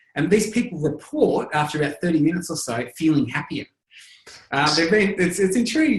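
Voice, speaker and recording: A man with an Australian accent talks at a fairly quick pace with lively intonation. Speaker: lifestyle medicine researcher. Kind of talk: interview answer.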